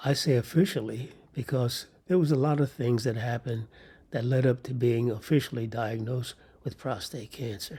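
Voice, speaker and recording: At a medium pitch, a man speaks in a somewhat breathy voice with ordinary pitch variation. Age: 80s+. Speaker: cancer survivor sharing his story. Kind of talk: personal testimony monologue. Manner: measured, with hesitations.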